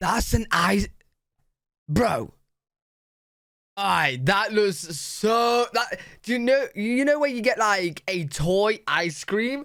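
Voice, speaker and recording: In a British accent, the speaker moves at a very slow pace with long, frequent pauses. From United Kingdom. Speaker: reaction YouTuber. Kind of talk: casual talk to camera.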